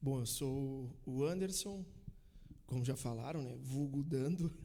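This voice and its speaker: Amid audible room echo, a man speaks at medium pitch in a somewhat breathy voice with ordinary pitch variation. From Bento Gonçalves, Rio Grande do Sul, Brazil. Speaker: church member sharing testimony. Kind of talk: casual chat.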